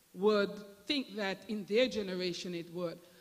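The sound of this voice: This woman talks with a Jamaican accent and ordinary pitch variation.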